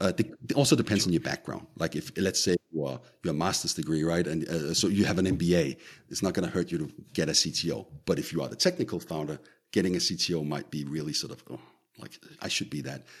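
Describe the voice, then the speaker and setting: A man with vocal fry talks at a very fast pace and a very deep, low pitch with ordinary pitch variation. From Denmark. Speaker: tech company co-founder. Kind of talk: interview. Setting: remote call. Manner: halting.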